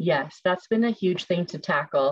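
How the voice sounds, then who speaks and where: The speech comes at a moderate pace. There is a somewhat breathy quality to the voice. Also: woman. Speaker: food services participant in leadership cohort. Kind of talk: webinar presentation.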